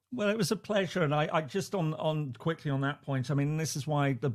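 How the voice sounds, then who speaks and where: A man with an English accent speaks at a fairly quick pace, his voice dark, mellow and somewhat breathy. His pitch varies in an ordinary way, and the recording is very clean with a silent background. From England. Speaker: professor. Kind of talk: casual chat. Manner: halting, many repetitions.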